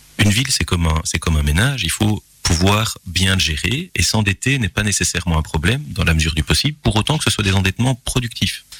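A man's very deep, low voice with lively intonation, a fairly quick pace, hardly any pauses, and very even loudness, the sound dry and close with no echo but noticeable background noise. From Belgium, Gilly near Charleroi. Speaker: local politician and lawyer. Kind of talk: radio interview. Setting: radio studio.

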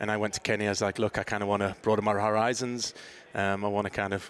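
Speaking very fast in a Teesside accent, a man with a fairly low pitch keeps a monotone, flat intonation. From northeast England, Middlesbrough. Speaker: youth soccer academy director. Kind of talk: interview.

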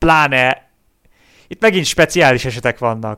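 Set against a silent background in a very clean recording, dry and close with no echo, a man speaks in an ordinary speaking voice at medium pitch and a moderate pace. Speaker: cycling podcast co-host. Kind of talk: casual chat.

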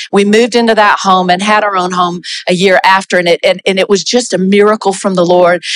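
A woman with an American accent, medium in pitch, flat and monotone in intonation, with very even loudness. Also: fairly quick pace. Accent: Southern US, audible to Canadian listeners. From US South, South Carolina. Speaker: pastor, former missionary. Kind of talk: church testimony and encouragement. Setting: church with congregation.

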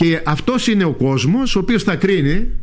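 Audible room echo surrounds a man as he speaks. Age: 60s. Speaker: parliamentary candidate. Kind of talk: radio interview. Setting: radio studio.

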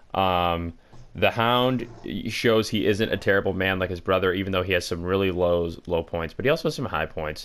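A man with a very deep, low voice speaks at a moderate pace with ordinary pitch variation, on a very clean recording with a silent background. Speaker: podcast co-host. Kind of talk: casual comedic chat. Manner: joking, crude humor.

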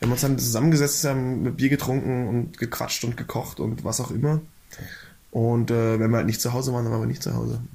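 A man's very fast, somewhat breathy delivery at a medium pitch, the intonation fairly even. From Swabia, near Augsburg, Germany. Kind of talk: casual chat.

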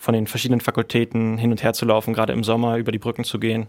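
A man talks at a very fast pace and medium pitch. The recording is very clean with a silent background. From Berlin, Germany. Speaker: university student. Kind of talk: casual interview.

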